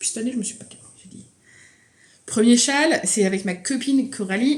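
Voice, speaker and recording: Somewhat breathy, a woman speaks at a moderate pace with lively intonation. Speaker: knitting vlogger. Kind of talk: casual vlog chat.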